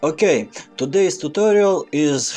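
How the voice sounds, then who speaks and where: A man with a Russian accent talks at a fairly slow pace with lively intonation while music plays in the background. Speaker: Photoshop tutorial maker. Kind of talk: software tutorial narration.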